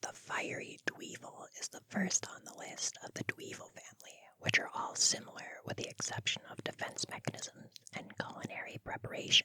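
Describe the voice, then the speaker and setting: Someone whispers at a moderate pace. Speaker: gaming content creator. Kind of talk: whispered ASMR-style video game summary narration; casual friendly address to the audience. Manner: whispered, soft.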